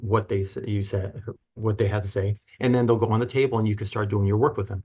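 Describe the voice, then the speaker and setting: The voice is somewhat breathy, with fairly even intonation over a quiet background. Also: man. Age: 60s. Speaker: chiropractor and author. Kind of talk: podcast interview. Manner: halting.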